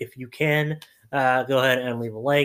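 Ordinary pitch variation runs through this man's medium-pitched speech. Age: 20s. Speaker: podcast host. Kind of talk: casual solo commentary. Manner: animated.

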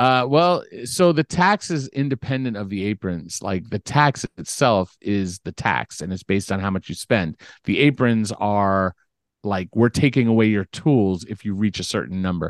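In a quiet background with a dry, close sound and no echo, a man with a normal speaking voice talks at a moderate pace, his fairly low pitch carrying lively intonation. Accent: American. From US West Coast, Los Angeles (Beverly Hills). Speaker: basketball salary cap expert and sportswriter. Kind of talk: casual podcast interview.

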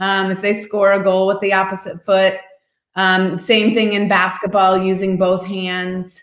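A fairly slow, flat, monotone delivery with an American accent. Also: woman, medium pitch for a woman. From US Midwest, Indiana. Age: 50s. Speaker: entrepreneur and children's advocate. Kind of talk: interview.

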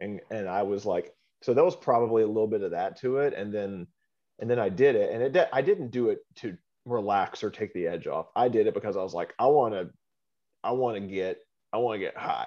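With an American accent, a man speaks at a fairly quick pace in an ordinary speaking voice, with medium pitch and ordinary pitch variation. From small town, USA. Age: 40s. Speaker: podcast co-host. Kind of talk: casual chat.

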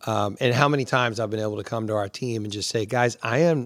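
A plain, everyday voice from a man of medium pitch, fairly quick in pace with ordinary pitch variation, on a very clean recording with a silent background. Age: 50s. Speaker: pastor and podcast host. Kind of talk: casual chat.

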